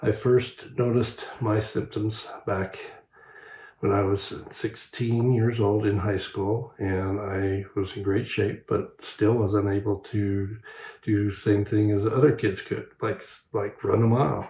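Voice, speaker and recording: Speaking at a fairly slow pace with an American accent, a man has a fairly low, dark, mellow voice that is somewhat breathy and delivered in a flat monotone. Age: 60s. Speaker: patient. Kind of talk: testimony.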